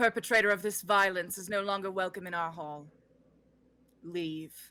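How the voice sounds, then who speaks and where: A booming, put-on character voice at a middle pitch comes at a moderate pace over a very clean recording with a silent background. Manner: commanding, authoritative.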